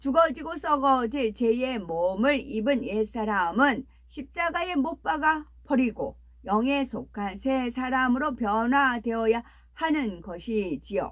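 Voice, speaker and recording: A woman's high-pitched, very slow delivery with lively intonation. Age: 60s. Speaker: preacher. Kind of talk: sermon; casual aside.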